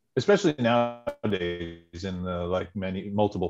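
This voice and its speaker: An ordinary speaking voice from a man with an American accent, fairly low in pitch with ordinary pitch variation, over a quiet background. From central New Jersey. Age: 40s. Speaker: person in recovery. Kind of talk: testimony.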